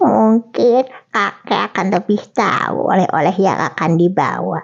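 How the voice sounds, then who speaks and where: Putting on a character voice, a woman speaks at a fairly slow pace and medium pitch. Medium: read story. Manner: gentle, pondering.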